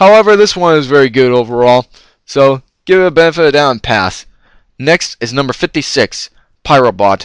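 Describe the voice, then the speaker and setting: An ordinary speaking voice from a man, fairly high in pitch, moving at a fairly quick pace with lively intonation. The sound is dry and close, with no echo. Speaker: retro game collector and reviewer. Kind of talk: unscripted card review talk.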